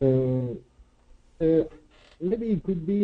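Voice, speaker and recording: A man speaks with a non-native accent. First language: not English. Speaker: student in online class. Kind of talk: class discussion. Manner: halting. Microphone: muffled, far from mic.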